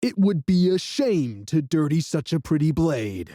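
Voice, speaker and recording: A put-on character voice moves at a moderate pace, its pitch swinging very widely while its loudness stays very even. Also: man, fairly high pitch for a man. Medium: read story. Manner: sneering, menacing.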